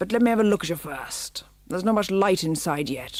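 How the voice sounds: In a put-on character voice, the speaker sounds raspy, with a middle pitch and a fairly quick pace.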